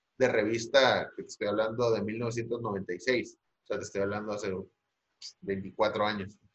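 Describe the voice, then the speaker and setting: A plain, everyday voice at a fairly slow pace. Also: man. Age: 40s. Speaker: marketing agency owner. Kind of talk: casual interview.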